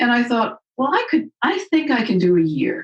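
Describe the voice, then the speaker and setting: A woman speaks in a somewhat breathy voice with very wide pitch swings. The sound is dry and close, with no echo. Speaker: retired nurse and medical cannabis advocate. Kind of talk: interview conversation. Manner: halting.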